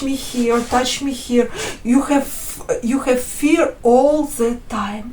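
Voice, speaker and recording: A high-pitched woman's voice with a non-native accent, fairly even intonation, audible room echo and noticeable background noise. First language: not English. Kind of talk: testimony. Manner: halting, many fillers and restarts.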